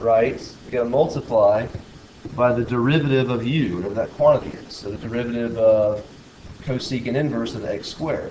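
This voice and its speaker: At a fairly quick pace, a man of medium pitch talks with ordinary pitch variation and big swings in loudness, amid noticeable background noise and audible room echo. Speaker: math teacher. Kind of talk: lecture; casual chat. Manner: fast.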